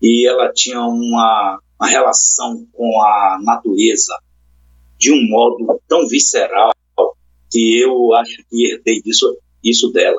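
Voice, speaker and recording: A man talks at a very slow pace, keeping a very even loudness. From Brazil, Salvador (Bahia). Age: 60s. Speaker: poet and public school biologist. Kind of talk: casual interview chat.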